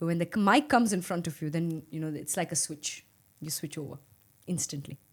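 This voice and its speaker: A woman's fairly low-pitched voice at a fairly quick pace, with ordinary pitch variation, in a very clean recording with a silent background. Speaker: cricket commentator and former national captain. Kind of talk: interview. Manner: calm, subtle on mic.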